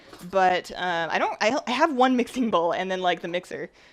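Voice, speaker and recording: A woman's medium-pitched, animated voice with lively intonation, against noticeable background noise. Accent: Canadian. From Canada. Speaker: baking streamer. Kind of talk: live-stream baking chat. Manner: fast.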